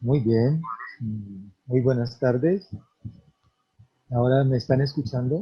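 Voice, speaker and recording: Speaking at a medium pitch with ordinary pitch variation, a somewhat breathy man goes at a very slow pace with long, frequent pauses. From Colombia, Antioquia/Caldas paisa region. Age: 60s. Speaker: farmer and community leader. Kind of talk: conference talk.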